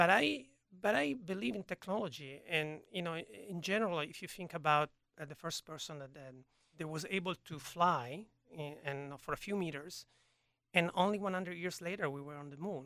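This man has a bright, sharp tone and an Italian accent, pitched high for a man with ordinary pitch variation. He talks at a moderate pace, and his loudness swings widely. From Italy, Turin. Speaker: gene therapy researcher. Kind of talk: interview. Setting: studio. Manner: halting.

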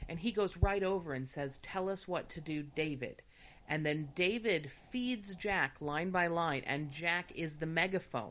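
Lively intonation at a moderate pace from a woman with an unremarkable speaking voice. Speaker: podcast co-host. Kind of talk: casual chat.

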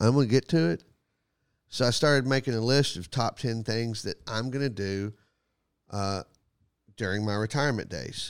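On a very clean recording with a silent background, a man with a Texan accent speaks at medium pitch and a moderate pace, with ordinary pitch variation and long, frequent pauses. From Texas, Graham. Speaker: comedian and podcast host. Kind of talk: casual chat.

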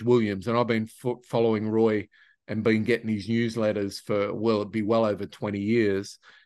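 Over a quiet background, a man of medium pitch speaks at a fairly slow pace with an Australian accent. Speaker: podcast host. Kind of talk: casual interview. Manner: halting, filler-heavy.

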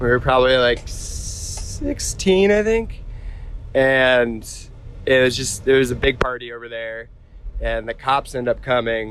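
At a fairly slow pace and with ordinary pitch variation, the voice comes through over noticeable background noise. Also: man, medium pitch for a man. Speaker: friend of the snowboarder. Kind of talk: casual storytelling.

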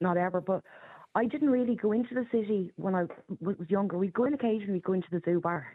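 A woman's medium-pitched voice with an Irish accent. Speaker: caller. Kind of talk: call-in radio talk. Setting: phone call. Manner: chatty, laughs easily.

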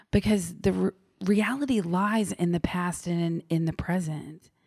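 In a very clean recording with a silent background, a woman uses a normal speaking voice at a medium pitch and a fairly slow pace. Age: 30s. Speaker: podcast guest. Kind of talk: casual interview conversation.

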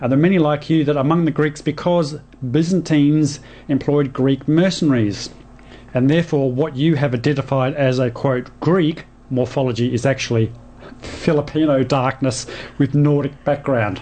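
With an Australian accent, a man speaks at a moderate pace in a fairly high pitch. His intonation is fairly even, his loudness very even, and noticeable background noise is present. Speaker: radio host. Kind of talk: radio talk show. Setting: studio.

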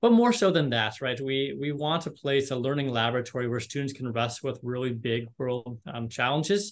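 A man with a normal speaking voice talks at a fairly quick pace, using medium pitch and ordinary pitch variation. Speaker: university admissions director. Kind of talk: casual interview.

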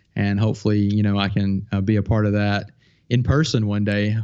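Against a quiet background, a man with an American accent speaks at a fairly quick pace and a fairly low pitch. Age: 40s. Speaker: filmmaker and YouTube tutorial creator. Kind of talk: casual interview.

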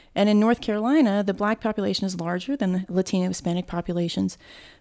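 A dark, mellow tone moves at a fairly quick pace in a very clean recording with a silent background and a dry, close sound with no echo. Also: woman. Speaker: podcast host and interviewer. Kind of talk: formal introduction and interview.

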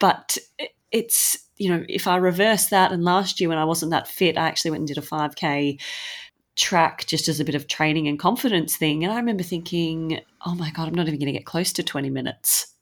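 With an Australian accent, the speaker moves at a fairly quick pace with ordinary pitch variation on a very clean recording with a silent background. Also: woman, fairly low pitch for a woman. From Sydney, Australia. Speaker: podcast co-host, runner. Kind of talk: casual podcast chat.

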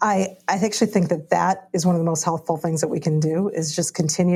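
A woman at a fairly low pitch, flat and monotone, moderate in pace, with noticeable background noise. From Chicago, US Midwest, Indian American family. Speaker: pastor. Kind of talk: panel discussion.

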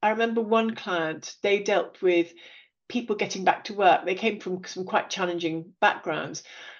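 Ordinary pitch variation marks a plain, everyday voice going at a moderate pace. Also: woman. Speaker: podcast host. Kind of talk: interview.

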